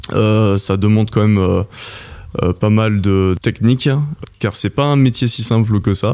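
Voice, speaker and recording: A man is talking here. His pitch is fairly low. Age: 20s. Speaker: oyster farmer. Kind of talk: interview. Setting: at his home. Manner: hesitant, many fillers.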